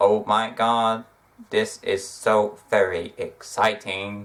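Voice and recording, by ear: Recorded very cleanly against a silent background, a man puts on a robotic character voice, fairly low-pitched and delivered at a very slow pace.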